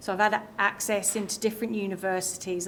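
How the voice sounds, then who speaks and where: A woman speaks in a monotone, flat intonation. Audible room echo surrounds her voice. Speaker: cyber security outreach staff. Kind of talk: conference talk. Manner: loud; halting, many fillers and repeats.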